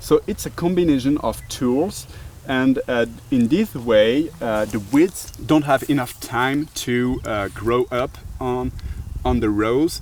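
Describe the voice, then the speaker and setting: Amid noticeable background noise, a man with a French accent speaks very slowly at a medium pitch with ordinary pitch variation. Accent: nice French. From France. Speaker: tool maker representative. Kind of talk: casual tool demonstration. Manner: hesitant, many fillers.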